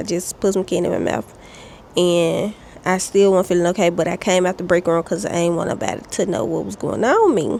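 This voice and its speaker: There is noticeable background noise as a woman speaks at a medium pitch. Her pace is moderate, with ordinary pitch variation. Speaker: vlogger. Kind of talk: casual chat. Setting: outdoors on porch.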